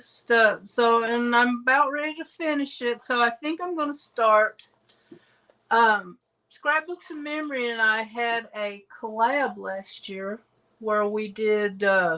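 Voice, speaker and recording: A woman with a Southern US accent, fairly high-pitched, with a bright, sharp tone, big swings in loudness and a fairly slow pace. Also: ordinary pitch variation. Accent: Southern US, persistent. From US South and Midwest, Illinois then Tennessee. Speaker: craft video creator. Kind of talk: casual chat. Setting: livestream video call.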